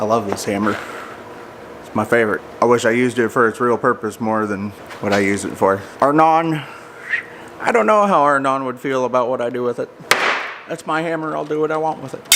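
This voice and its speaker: A man speaks at a fairly quick clip with lively intonation and a medium pitch, broken by long, frequent pauses over noticeable background noise. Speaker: car builder and fabricator. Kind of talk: workshop tutorial. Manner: casual, conversational.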